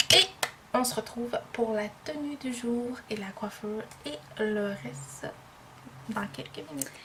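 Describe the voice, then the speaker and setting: Over noticeable background noise, a woman with a Quebec accent talks very slowly in a fairly high voice, her pitch swinging very widely. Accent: Québécois French. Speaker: beauty vlogger. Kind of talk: makeup tutorial vlog. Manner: casual, hesitant with many fillers.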